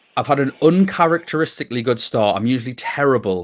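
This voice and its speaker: In a Geordie accent, a man speaks at a very fast pace with lively intonation. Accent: Geordie (Newcastle). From northern England, Newcastle. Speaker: podcast host. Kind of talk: casual chat. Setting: livestream.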